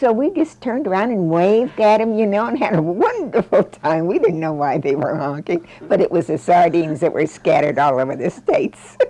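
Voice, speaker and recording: Over noticeable background noise, a woman with an American accent talks at a fairly quick pace and medium pitch, with very wide pitch swings and hardly any pauses. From US Midwest (Fort Leavenworth, Kansas). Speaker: interviewee recalling family history. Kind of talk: oral history interview.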